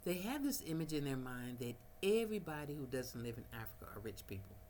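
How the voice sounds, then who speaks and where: Very fast speech in an American accent, with very wide pitch swings, noticeable background noise and audible room echo. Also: woman, very deep, low pitch for a woman. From United States. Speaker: vlogger. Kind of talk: casual vlog monologue. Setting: at home, no power, small fan running.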